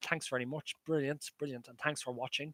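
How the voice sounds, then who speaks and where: In a dry, close recording with no echo, a man with an Irish accent speaks at a fairly high pitch in a bright, sharp tone. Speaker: maths lecturer. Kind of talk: live stream chat with viewers; online lecture. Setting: live stream. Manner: fast; halting.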